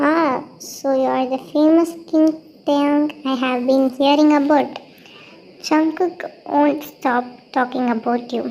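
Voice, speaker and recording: Using a put-on character voice, a woman speaks at a high pitch and a fairly slow pace with long, frequent pauses. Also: fairly even intonation. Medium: read story.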